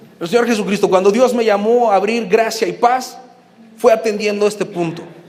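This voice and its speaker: A man with a high-pitched voice talks over noticeable background noise. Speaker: pastor. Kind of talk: teaching talk to new members.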